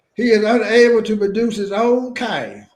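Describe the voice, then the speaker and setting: A man speaks at high pitch in a monotone, flat delivery at a moderate pace, with audible room echo. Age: 70s. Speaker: podcast host. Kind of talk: casual interview with reading aloud.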